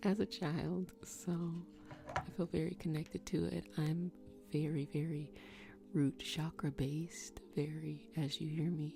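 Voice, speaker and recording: Over music in the background, a soft-spoken voice talks at a fairly slow pace. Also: woman. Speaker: Reiki master teacher. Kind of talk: guided energy healing session.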